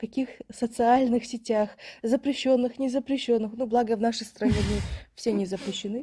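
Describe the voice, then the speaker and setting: A woman with a high pitch and a dark, mellow tone speaks in a monotone, flat intonation, leaving long, frequent pauses. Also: moderate pace. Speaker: podcast co-host. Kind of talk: casual chat.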